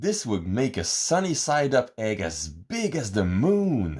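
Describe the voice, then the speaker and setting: A man's put-on character voice at a medium pitch and fairly slow pace, full of very wide pitch swings. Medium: read story.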